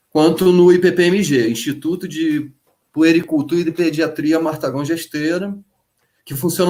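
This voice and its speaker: A man with a fairly high pitch keeps to a moderate pace. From Brazil, Rio de Janeiro state mountain region. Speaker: teacher. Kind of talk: live online panel talk. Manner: halting, many repetitions and fillers.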